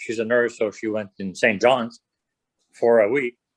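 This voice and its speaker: A man with a strong French Canadian accent talks at a moderate pace. His medium-pitched voice has a dry, close sound with no echo. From French Canada. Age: 60s. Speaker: prostate cancer patient. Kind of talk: casual interview.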